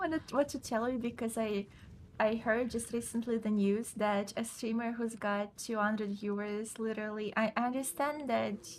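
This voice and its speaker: A woman speaks with a Russian accent at a fairly high pitch. Her pace is moderate and her intonation fairly even. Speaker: video game streamer. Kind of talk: casual chat during live gameplay.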